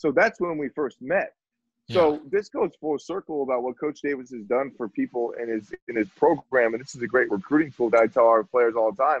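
With a quiet background and a dry sound free of echo, a man talks fairly quickly in an American accent. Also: lively intonation. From northern Virginia, near Washington D.C. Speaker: football coach and former quarterback; football coach. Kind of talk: casual chat. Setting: video call. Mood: relaxed, laughing at times. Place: home room. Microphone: webcam.

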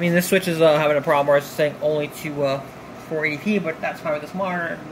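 Very fast, mumbled speech over light background noise. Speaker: tech hobbyist. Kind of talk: casual tech tutorial talk to camera. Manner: rambling, mumbling. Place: home room.

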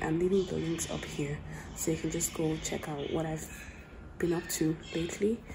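A woman's fairly low voice at a fairly quick pace, over noticeable background noise. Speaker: vlogger. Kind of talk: vlog talk to camera. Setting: airport. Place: hall. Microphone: phone near.

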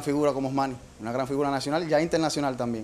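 Man with a fairly high pitch and a monotone, flat intonation. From eastern Cuba. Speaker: childhood friend and former dancer. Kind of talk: testimony. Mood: warm, nostalgic, proud. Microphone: handheld.

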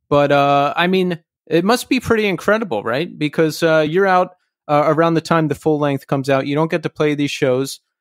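Recorded very cleanly, dry and close with no echo against a silent background, a man uses an ordinary speaking voice at a fairly high pitch, a fairly quick pace and ordinary pitch variation. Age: 40s. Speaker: podcast host. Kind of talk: solo intro and outro monologue; casual interview chat.

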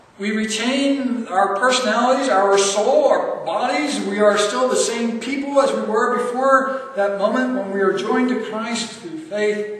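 A man speaks at a fairly slow pace with a high pitch and ordinary pitch variation. Strong room echo surrounds his voice.

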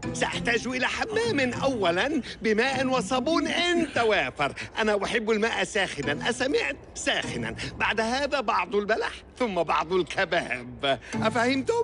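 Through clear background noise, a whiny put-on character voice with a pompous, whiny tone moves very slowly, with very wide pitch swings and very even loudness. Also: man, high pitch for a man. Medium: cartoon. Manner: pompous, whiny, demanding.

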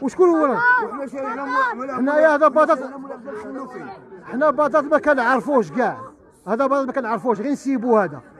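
Over crowd noise in the background, a man with an eastern Moroccan accent and an extremely high pitch speaks in a dry sound with no echo, with long, frequent pauses. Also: ordinary pitch variation, moderate pace. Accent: Moroccan Arabic, eastern Oujda dialect. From Morocco. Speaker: resident interviewed in street report; interviewee. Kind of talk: street interview complaint. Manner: animated. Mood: angry, pleading. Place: street. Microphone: handheld.

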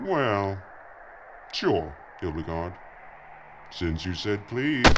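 In a put-on character voice, a man speaks very slowly at a low pitch with big pitch swings over faint background noise.

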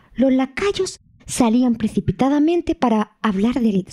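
Pitched fairly high, a woman's voice has a warm tone that is also dark and mellow. She speaks at a fairly slow pace with lively intonation. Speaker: storyteller narrator. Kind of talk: audiobook fairy-tale narration. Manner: slow, hushed and dramatic, building suspense as the emperor lies dying; storyteller's tone, warm and expressive, voicing the characters.

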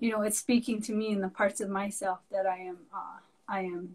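At a moderate pace, the voice comes out somewhat breathy with monotone, flat intonation. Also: woman. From Santa Clara Pueblo, New Mexico; New Mexico. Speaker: artist; guest. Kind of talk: casual interview. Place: home room. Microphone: video call.

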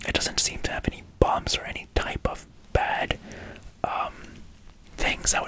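A man whispers. His pace is moderate. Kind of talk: ASMR eye-exam roleplay. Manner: soft, close ASMR doctor voice.

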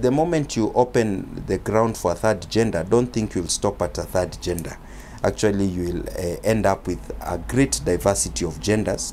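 Faint music plays in the background as a man with a Kenyan accent and a fairly low pitch speaks with lively intonation. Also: moderate pace. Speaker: lawyer. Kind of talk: interview. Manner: formal. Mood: calm, argumentative. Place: street. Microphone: handheld.

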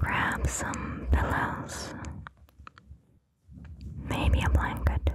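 A soft-spoken woman whispering at a very slow pace, dry sound with no echo, over noticeable background noise. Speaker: ASMR creator. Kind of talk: whispered guided relaxation. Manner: soft cupped whisper close to microphone. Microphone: studio mic.

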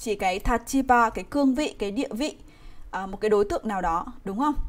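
A woman with a plain, everyday voice speaks at a moderate pace, her fairly high pitch showing ordinary variation. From Vietnam. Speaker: Japanese language teacher. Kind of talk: live online grammar lesson. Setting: livestream. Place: home room.

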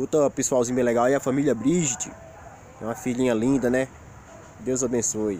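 A man talks at a fairly quick pace with fairly even intonation and long, frequent pauses. The sound is dry with no echo, over light background noise. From Rio Grande do Norte, northeastern Brazil. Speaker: YouTuber. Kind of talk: casual vlog monologue. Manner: informal, colloquial. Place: forest. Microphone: phone near.

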